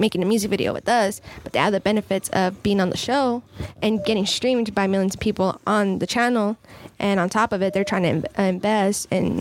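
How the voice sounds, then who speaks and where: Noticeable background noise sits under a woman speaking at medium pitch. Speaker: film producer. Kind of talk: casual chat.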